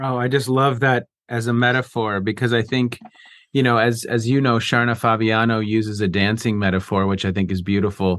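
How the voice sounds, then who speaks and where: An unremarkable speaking voice from a man, medium pitch, fairly quick pace, fairly even intonation and very even loudness. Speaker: podcast host and professor. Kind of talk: interview intro and discussion.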